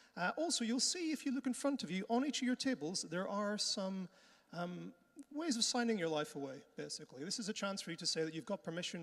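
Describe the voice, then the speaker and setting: A man with a Northern Irish accent, fairly quick pace and very wide pitch swings. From Northern Ireland. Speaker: conference host. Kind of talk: conference hosting. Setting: conference hall with audience. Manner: casual, friendly.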